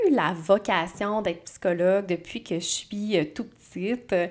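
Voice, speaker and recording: A woman talks at a very slow pace. Her voice sits at medium pitch. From Quebec, Abitibi-Témiscamingue. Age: 30s. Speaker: psychologist and podcast host. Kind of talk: casual solo monologue. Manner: hesitant, many fillers.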